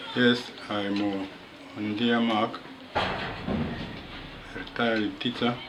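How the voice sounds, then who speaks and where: A man speaks at medium pitch in a monotone, flat intonation and at a very slow pace. Noticeable background noise and audible room echo surround him. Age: 80s+. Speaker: retired teacher. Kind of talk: life story talk.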